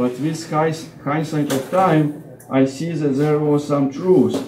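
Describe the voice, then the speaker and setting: A man speaks at a fairly slow pace in a fairly high voice, with audible room echo and noticeable background noise. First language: Russian. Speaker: Orthodox deacon and seminary professor. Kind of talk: lecture. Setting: parish hall talk with audience eating. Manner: halting, with many fillers and restarts.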